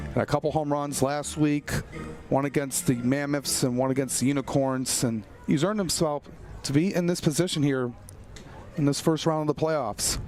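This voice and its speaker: Music plays in the background as a man with a fairly high pitch speaks at a moderate pace, with very even loudness and fairly even intonation. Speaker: baseball color commentator. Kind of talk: baseball color commentary.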